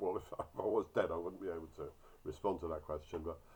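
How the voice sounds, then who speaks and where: At a very fast pace, a man speaks with a very deep, low pitch and a somewhat breathy sound. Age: 60s. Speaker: orchard grower; doctor. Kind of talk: casual talk to camera.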